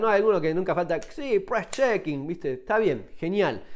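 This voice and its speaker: A man with a Rioplatense accent talks in a high voice with lively intonation. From Argentina. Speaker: survival and firearms YouTuber, author. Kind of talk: tutorial. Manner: casual, conversational. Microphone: phone near.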